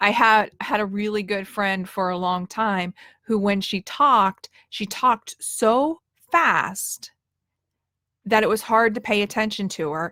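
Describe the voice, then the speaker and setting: A woman's bright, sharp voice at medium pitch with ordinary pitch variation and long, frequent pauses, in a very clean, dry, close recording with no echo and a silent background. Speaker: leadership coach. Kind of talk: tutorial. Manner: demonstrates nasal and chest voice.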